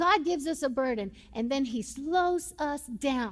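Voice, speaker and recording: In a Puerto Rican accent, the voice sounds animated and swings very widely in pitch. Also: woman. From Puerto Rico. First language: Spanish. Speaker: pastor. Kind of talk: sermon. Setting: church.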